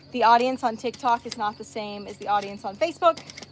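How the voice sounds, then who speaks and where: Fairly quick speech from a woman with ordinary pitch variation, against noticeable background noise. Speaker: farmer and social media creator. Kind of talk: casual livestream chat. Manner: fast.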